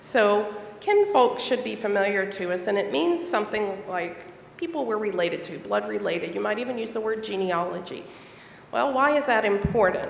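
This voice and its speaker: With an American accent and lively intonation, a woman of medium pitch speaks at a moderate pace amid noticeable background noise and audible room echo. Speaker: church elder and library school teacher. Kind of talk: sermon. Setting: church.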